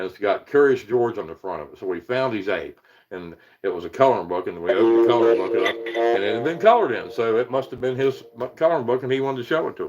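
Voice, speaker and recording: With music in the background, a medium-pitched man talks very fast and with lively intonation. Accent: American. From Virginia hills, US. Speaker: paranormal investigator and YouTuber. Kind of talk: live stream chat. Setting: live stream from rural home. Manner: casual, halting with repetitions. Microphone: weak internet connection.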